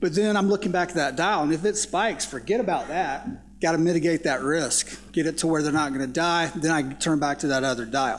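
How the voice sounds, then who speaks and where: With a Southern US accent, a man talks at a fairly quick pace and a fairly high pitch. His loudness stays very even, and his pitch variation is ordinary. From US South. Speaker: psychology professor. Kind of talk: panel discussion.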